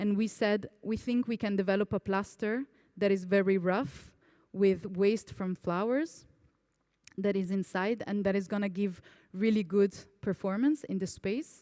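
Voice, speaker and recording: A woman speaks fairly slowly at a medium pitch with ordinary pitch variation and a dark, mellow tone. The recording is very clean, with a silent background. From Italy. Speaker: architect. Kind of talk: lecture. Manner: casual, some hesitations.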